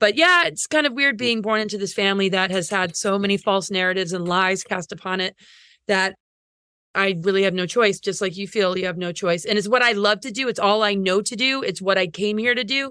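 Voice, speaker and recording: In a very clean recording with a silent background, a woman talks at a fairly quick pace in a bright, sharp tone, her medium pitch showing ordinary variation. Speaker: astrologer and speaker. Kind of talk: casual chat. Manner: fast.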